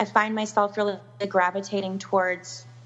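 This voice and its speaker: A woman with an Upper Midwest accent at a moderate pace, with noticeable background noise. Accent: Upper Midwest American. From US Upper Midwest, Milwaukee, Wisconsin. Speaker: wedding planner. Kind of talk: interview.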